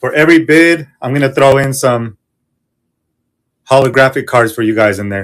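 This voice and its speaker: Lively intonation from a man with a fairly high pitch, in a very clean recording with a silent background. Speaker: online reseller running live auction show. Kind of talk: live selling stream. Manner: fast; animated.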